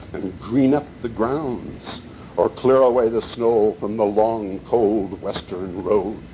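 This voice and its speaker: A man's medium-pitched voice with an American accent, ordinary pitch variation and a very slow pace, over noticeable background noise. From Montana, Butte. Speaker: poet. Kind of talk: reading aloud.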